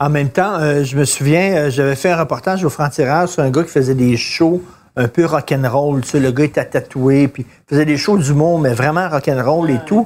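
With a plain, everyday voice, a man talks at a moderate pace and fairly high pitch, his pitch variation ordinary, on a very clean recording with a silent background. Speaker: podcast co-host. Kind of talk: casual chat.

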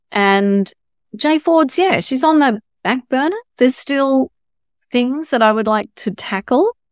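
On a very clean recording with a silent background and a dry, close sound with no echo, a woman speaks high and fairly slowly, with lively intonation and long, frequent pauses. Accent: Australian. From Australia, Sydney northern beaches. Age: 60s. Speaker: novelist. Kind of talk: interview.

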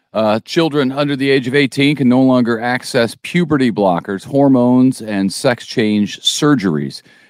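An ordinary speaking voice from a man, medium in pitch with ordinary pitch variation, at a moderate pace with hardly any pauses and very even loudness, on a very clean recording over a silent background. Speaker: news podcast co-host. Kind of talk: casual news chat.

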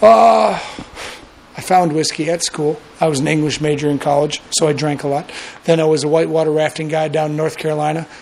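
Over noticeable background noise, a man talks at a fairly quick pace. His fairly high voice is monotone, with flat intonation. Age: 30s. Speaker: distillery owner. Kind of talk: interview.

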